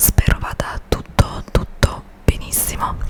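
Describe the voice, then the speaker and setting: A woman whispering at a very slow pace over noticeable background noise. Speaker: ASMR creator. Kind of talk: ASMR magazine reading. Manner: whispered.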